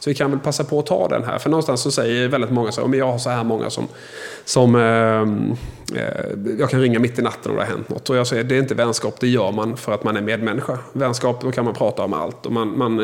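Over noticeable background noise, a man with a medium pitch speaks at a very fast pace. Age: 40s. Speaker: podcast host. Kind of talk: interview.

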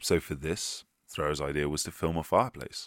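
On a very clean recording with a silent background, a man with a very deep, low pitch speaks in a warm, animated tone. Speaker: history podcast host. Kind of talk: history documentary narration, scripted. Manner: warm, polished, storytelling cadence; animated, festive.

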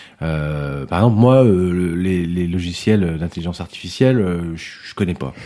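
A man's very deep, low pitch at a fairly slow pace with hardly any pauses, over noticeable background noise. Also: ordinary pitch variation. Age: 50s. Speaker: musician and music teacher, theatre company director. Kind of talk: casual interview. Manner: hesitant, many fillers.

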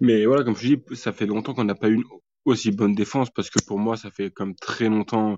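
Speaking fairly quickly, a man keeps a monotone, flat delivery at a fairly low pitch. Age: 20s. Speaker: football fan podcast guest. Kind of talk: casual chat.

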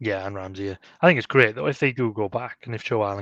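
At a fast pace, a man talks with a fairly low pitch and a fairly bright tone.

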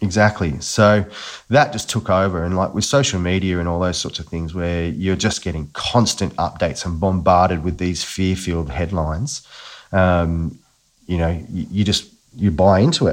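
A man with an Australian accent speaks at a moderate pace in a very deep, low pitch with ordinary pitch variation. The background is quiet. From Australia, Newcastle NSW. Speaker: agency founder. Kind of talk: casual chat. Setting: remote recording.

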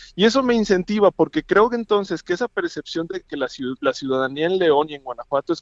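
Recorded dry and close with no echo, a man talks fairly quickly at a high pitch with lively intonation. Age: 30s. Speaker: political candidate. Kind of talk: phone interview. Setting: phone call.

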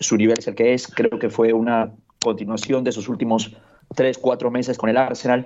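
A man at medium pitch, moderate pace and monotone, flat intonation. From Peru, Lima. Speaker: football pundit. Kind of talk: casual chat.

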